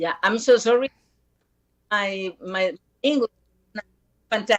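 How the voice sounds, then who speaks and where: With a dry, close sound and no echo, a woman speaks fairly slowly at a fairly high pitch, showing ordinary pitch variation and big swings in loudness. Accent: Spanish. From Costa Rica. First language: Spanish. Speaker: musician and social activist. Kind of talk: interview. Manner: halting. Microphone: poor connection.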